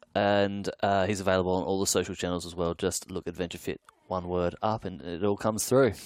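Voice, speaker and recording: This man has a very deep, low voice and an Australian accent. He talks very fast with fairly even intonation. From Australia, Adelaide. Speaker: executive coach, podcast host. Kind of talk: interview.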